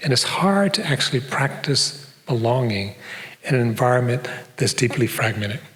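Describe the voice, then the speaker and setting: Audible room echo and noticeable background noise surround a man with a North American accent. His pitch is medium and his loudness very even. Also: ordinary pitch variation, moderate pace. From US Midwest, Detroit. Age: old. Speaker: professor. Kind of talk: public lecture. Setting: stage with audience.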